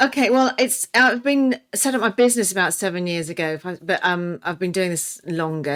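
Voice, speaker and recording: A woman with a fairly low voice speaks at a moderate pace with ordinary pitch variation. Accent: English. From England. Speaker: nutrition and weight loss coach. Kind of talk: podcast interview. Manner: halting, many fillers.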